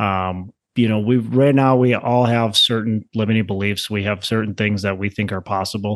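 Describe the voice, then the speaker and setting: A man with an American accent talks at a moderate pace with hardly any pauses, in a normal speaking voice, with a fairly low pitch and fairly even intonation over a quiet background. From Minnesota, Twin Cities. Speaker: real estate investor, former teacher. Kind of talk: podcast interview. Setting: remote call.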